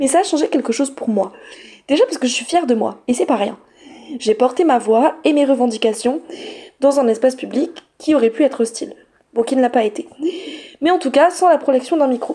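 High-pitched woman's voice with lively intonation, a fairly quick pace, and long, frequent pauses. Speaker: teacher and feminist radio columnist. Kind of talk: scripted column. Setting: studio. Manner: soft-spoken.

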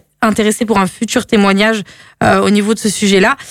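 A woman with a plain, everyday voice talks at a moderate pace and medium pitch with fairly even intonation. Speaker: radio host. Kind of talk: casual radio chat. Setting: radio studio. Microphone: speaks too close to the mic.

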